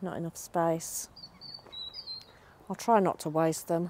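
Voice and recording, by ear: Low in pitch, a woman speaks in a dark, mellow tone with little pitch movement.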